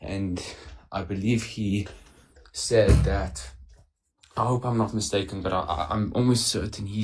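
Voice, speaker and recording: This man's voice is somewhat breathy. His pitch variation is ordinary. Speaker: caller. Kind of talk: heated debate. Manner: halting.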